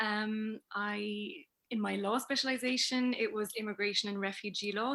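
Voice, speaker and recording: Recorded very cleanly with a silent background, a woman speaks in a normal speaking voice at a fairly high pitch and moderate pace, with fairly even intonation. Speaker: communication trainer and researcher. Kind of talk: interview.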